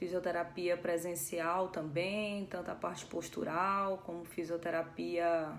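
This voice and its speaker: A woman with a Ceará accent speaks very slowly in a fairly low voice, with hardly any pauses. Noticeable background noise is present. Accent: Northeastern Brazilian (Cearense). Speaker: physiotherapist and Pilates instructor. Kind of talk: live stream talk. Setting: Instagram live.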